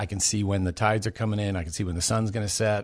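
A man with an American accent has a normal speaking voice, fairly low in pitch with fairly even intonation, over a quiet background. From California. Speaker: missionary. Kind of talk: testimony.

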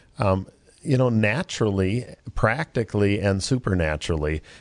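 Against a quiet background, a man with an American accent speaks in a very deep, low pitch. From Minnesota. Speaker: Bible college director. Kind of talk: casual interview. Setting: studio.

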